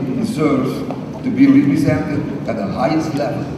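A man speaks with noticeable background noise. His voice carries a strong room echo. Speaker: government minister delegate. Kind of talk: formal speech. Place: hall. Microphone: podium.

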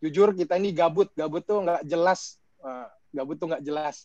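A high-pitched man at a moderate pace, fairly even in intonation, with a dry sound, no echo and a quiet background. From Indonesia. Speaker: moderator. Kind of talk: moderating a webinar. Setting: video call. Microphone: video call.

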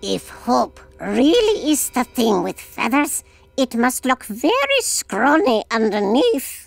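This cartoonish character voice sounds female and sits high in pitch. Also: fairly slow pace. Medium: puppet show. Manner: pompous, lecturing.

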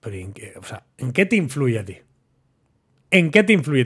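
Over a quiet background, a man speaks at a fairly slow pace in an animated tone, with vocal fry and very wide pitch swings. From Barcelona, Spain. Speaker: football commentator YouTuber. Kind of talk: casual monologue to camera. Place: studio. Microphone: studio mic.

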